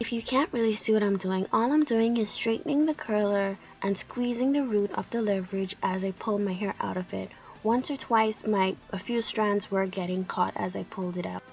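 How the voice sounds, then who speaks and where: A woman of medium pitch speaks at a moderate pace with ordinary pitch variation. Music sits in the background. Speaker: natural hair vlogger. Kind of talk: voice-over tutorial narration.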